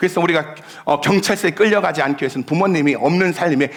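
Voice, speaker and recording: A man's fairly high-pitched voice with lively intonation over noticeable background noise. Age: 70s. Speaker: pastor. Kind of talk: sermon. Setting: church.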